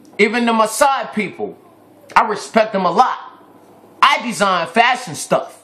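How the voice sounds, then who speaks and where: A man's animated, bright, sharp voice at a fairly slow pace, with ordinary pitch variation. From Ghana. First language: Twi. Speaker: vlogger. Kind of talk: video rant.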